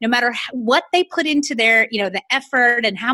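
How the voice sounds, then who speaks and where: With an American accent, a woman talks at a very fast pace in a high, bright, sharp voice, her tone animated and intonation lively, the sound dry and close with no echo. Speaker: business coach. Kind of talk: casual chat.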